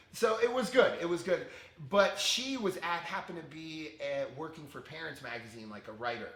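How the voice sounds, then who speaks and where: An animated voice with an American accent moves at a fairly quick pace, with very wide pitch swings and big swings in loudness. Audible room echo and noticeable background noise fill the recording. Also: man, high pitch for a man. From Connecticut, US. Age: 40s. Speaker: fitness instructor and former preschool teacher. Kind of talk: interview testimony. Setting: podcast.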